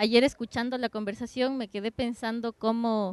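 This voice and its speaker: With an ordinary speaking voice, a woman talks at a fairly slow pace and fairly high pitch, dry and close with no echo, over a quiet background. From Ecuador. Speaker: dance curator. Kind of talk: roundtable introduction. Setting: open discussion at a cafe.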